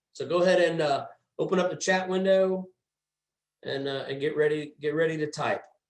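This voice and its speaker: A man speaks loudly at a fairly quick pace with a high pitch. His intonation stays fairly even, broken by long, frequent pauses. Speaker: HVAC trainer. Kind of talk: training webinar.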